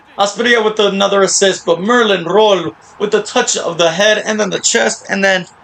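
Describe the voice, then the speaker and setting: Animated speech with lively intonation moves at a moderate pace over noticeable background noise. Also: man. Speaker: gaming video creator. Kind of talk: gameplay commentary.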